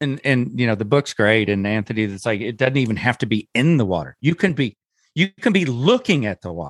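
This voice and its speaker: A man speaks at a medium pitch and fairly quick pace, with lively intonation and vocal fry. The sound is dry and close with no echo, in a very clean recording over a silent background. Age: 50s. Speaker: podcast co-host and producer, parent of a pro wakesurfer. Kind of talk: casual chat.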